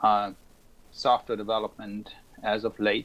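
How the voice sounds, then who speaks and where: A man speaks with a German accent at a very slow pace. His pitch sits fairly low. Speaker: software engineer. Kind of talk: casual introduction.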